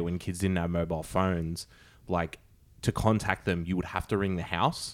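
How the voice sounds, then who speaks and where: Over a very clean recording with a silent background, a man speaks with an Australian accent at a moderate pace. His pitch is very deep and low, his intonation monotone and flat. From Sydney, Australia. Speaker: podcast host. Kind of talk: casual chat.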